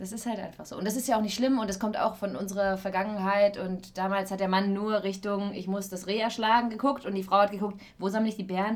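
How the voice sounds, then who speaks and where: Over noticeable background noise, the voice runs at a very fast pace with hardly any pauses and flat, monotone intonation. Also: woman, medium pitch for a woman. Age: 20s. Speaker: actress and voice-over artist, podcast co-host. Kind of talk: casual chat.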